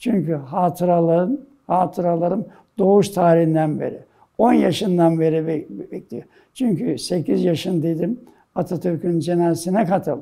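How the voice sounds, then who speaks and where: A man's high-pitched voice with a dark, mellow tone, a moderate pace and ordinary pitch variation. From Istanbul, Turkey (Fatih district). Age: 90s. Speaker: sports club president and oral history interviewee. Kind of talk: oral history interview. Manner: halting, with hesitations and self-corrections.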